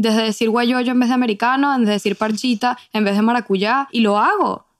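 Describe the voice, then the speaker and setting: On a very clean recording with a silent background, a woman with a Venezuelan accent speaks fairly quickly in a fairly high voice with fairly even intonation. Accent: Venezuelan Spanish, kept. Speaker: podcast co-host, immigrant. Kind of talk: casual chat.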